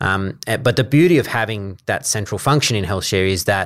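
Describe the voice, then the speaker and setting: On a very clean recording with a silent background, a man with an Australian accent speaks at a fairly quick pace, his fairly low pitch showing ordinary variation. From Australia, New South Wales (Coffs Harbour). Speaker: health services procurement manager. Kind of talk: interview. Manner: hesitant fillers.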